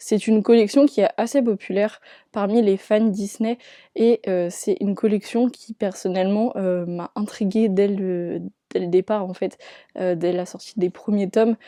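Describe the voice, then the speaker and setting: A woman speaks slowly, at a fairly slow pace, with a dark, mellow tone, medium pitch and fairly even intonation. The sound is dry and close with no echo, over a quiet background. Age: 20s. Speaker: book YouTuber. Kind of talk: casual vlog talk to camera. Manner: hesitant, many fillers.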